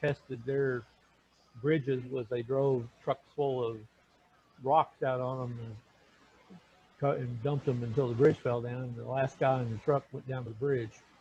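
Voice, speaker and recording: A man's voice comes out somewhat breathy, with a dark, mellow tone at medium pitch. His intonation stays monotone and flat. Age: 60s. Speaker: Bible study group facilitator. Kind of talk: casual group chat. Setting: video call. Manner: halting.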